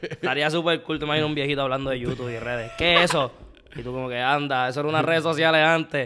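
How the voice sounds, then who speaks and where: A man talks at a very fast pace in a fairly high pitch, with fairly even intonation and light background noise. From Puerto Rico, Santurce; Puerto Rico. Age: 20s. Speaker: comedian. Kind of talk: casual chat. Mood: playful, laughing. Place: home room. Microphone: studio mic.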